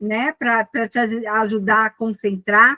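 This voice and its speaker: A woman talks at a very slow pace with a Brazilian accent and a fairly high pitch. The sound is dry and close, with no echo. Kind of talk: casual spiritual chat in live video call. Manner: animated.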